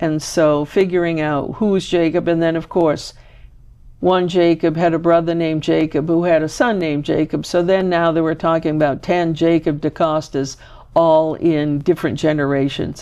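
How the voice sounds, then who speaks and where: In a quiet background, a woman with a Maine accent speaks at a moderate pace. Her fairly low pitch has a dark, mellow tone and a monotone, flat intonation. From Maine, Boothbay Harbor. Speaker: genealogy show host. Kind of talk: interview.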